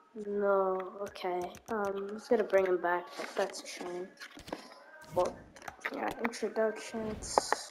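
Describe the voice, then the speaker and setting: A woman talks at a very slow pace with long, frequent pauses. Noticeable background noise is present. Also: medium pitch for a woman, fairly even intonation. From Turkey. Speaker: gaming YouTuber. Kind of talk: gameplay commentary. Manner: casual, hesitant with fillers.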